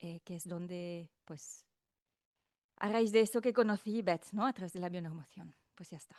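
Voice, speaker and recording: A woman with a slight French accent talks at a fairly slow pace with long, frequent pauses and big swings in loudness. The sound is dry and close with no echo. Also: medium pitch for a woman, ordinary pitch variation. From France. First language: not Spanish (speaking Spanish). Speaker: podcast host, guest. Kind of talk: casual chat. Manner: fluent.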